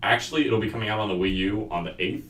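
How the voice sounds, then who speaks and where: With music in the background and audible room echo, a man speaks at a fairly low pitch. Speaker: student podcast host. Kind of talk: casual chat. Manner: fast.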